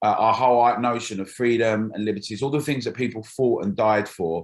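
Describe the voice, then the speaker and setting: The speaker has a London accent and ordinary pitch variation. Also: man. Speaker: campaign group founder. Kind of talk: political interview.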